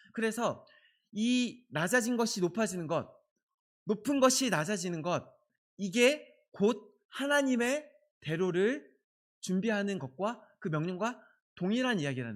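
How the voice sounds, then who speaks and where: The speech moves at a fairly slow pace, broken by long, frequent pauses. Its intonation is lively. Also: man, high pitch for a man. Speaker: pastor. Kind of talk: sermon. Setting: church. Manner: speeds up when excited.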